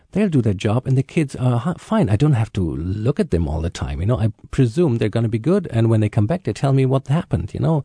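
A man's very fast, somewhat breathy German-accented voice at a medium pitch, with very wide pitch swings, hardly any pauses, a dark, mellow tone and a dry, close sound with no echo. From Germany. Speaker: journalist and arts producer. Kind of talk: panel discussion.

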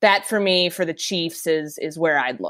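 A woman with an American accent talks at a fairly slow pace. The recording is very clean, with a silent background. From Minnesota, US Midwest. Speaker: NFL reporter. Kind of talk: casual chat.

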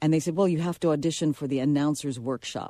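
A woman with an American accent has a very deep, low pitch and a dark, mellow tone, with ordinary pitch variation. The sound is dry and close, with no echo. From New York City, the Bronx. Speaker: veteran radio broadcaster and filmmaker. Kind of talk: radio interview.

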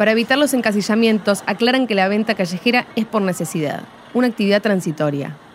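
A woman talks at a very fast pace in a Rioplatense accent, her fairly high pitch moving with ordinary variation. Her loudness stays very even, and noticeable background noise is present. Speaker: podcast host. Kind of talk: scripted narration.

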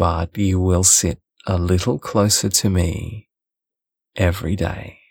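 A man's very deep, low voice, somewhat breathy, dry and close with no echo, at a very slow pace with long, frequent pauses, very even loudness and fairly even intonation. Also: very clean recording, silent background. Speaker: audiobook narrator. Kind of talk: literary audiobook reading.

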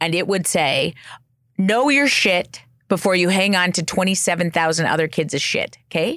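With a Western Canadian accent and ordinary pitch variation, a woman speaks in an animated tone. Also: very clean recording, silent background. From Canada. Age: 40s. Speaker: clinical psychologist. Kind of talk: casual chat.

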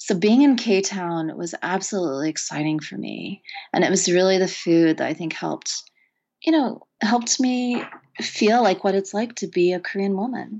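Talking at a moderate pace, a woman with an American accent has a plain, everyday voice at medium pitch with lively intonation. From rural Oklahoma, US. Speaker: poet and professor. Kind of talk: interview conversation. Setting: studio.

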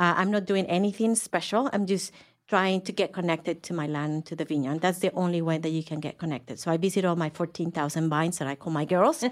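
A woman talks very fast with a Mexican accent. Her fairly low voice shows ordinary pitch variation. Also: very clean recording, silent background. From Mexico. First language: Spanish. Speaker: winery co-owner and vineyard farmer. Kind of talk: casual interview. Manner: halting, many fillers.

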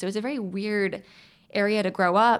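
A woman with an American accent and a medium pitch has a plain, everyday voice, heard on a very clean recording with a silent background. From US South, eastern North Carolina. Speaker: actor and writer. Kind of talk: casual interview chat. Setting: studio.

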